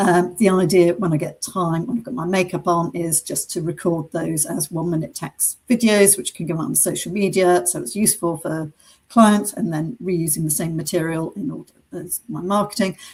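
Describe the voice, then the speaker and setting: Somewhat breathy and fairly low in pitch, a woman speaks at a moderate pace. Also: ordinary pitch variation. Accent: British. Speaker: business coach for accountants. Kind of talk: webinar presentation. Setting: online webinar.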